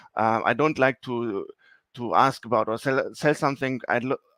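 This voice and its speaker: The recording is very clean and silent, dry and close with no echo. A man with a German accent speaks in a fairly high pitch with a bright, sharp tone. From Germany. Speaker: sales executive. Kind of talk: presentation. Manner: halting, many fillers.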